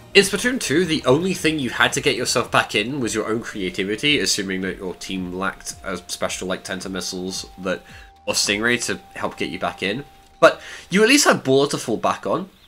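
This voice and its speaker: A man's medium-pitched voice with very wide pitch swings, music in the background. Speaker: video game commentator. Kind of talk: game analysis commentary.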